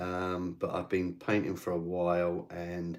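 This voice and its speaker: A man with a very deep, low pitch and a British accent, in a very clean recording with a silent background. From England. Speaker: miniature painting streamer. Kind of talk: casual livestream chat while painting. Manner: casual, hesitant with fillers.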